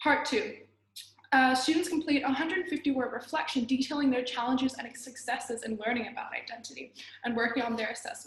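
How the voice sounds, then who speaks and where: This woman speaks very fast in a high-pitched voice. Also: ordinary pitch variation. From Australia, then China from age nine. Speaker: student teacher. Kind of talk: class presentation. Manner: halting, with frequent restarts.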